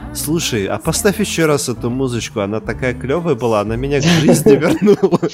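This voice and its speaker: Fairly quick, nearly pauseless speech with very wide pitch swings over noticeable background noise. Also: man, medium pitch for a man. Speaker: film podcast host. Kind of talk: casual chat.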